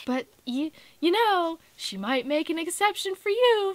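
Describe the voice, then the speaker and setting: A woman uses a put-on, squeaky character voice at an extremely high pitch with very wide pitch swings. She goes at a fairly slow pace, and the sound is dry and close with no echo. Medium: read story. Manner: smug, condescending.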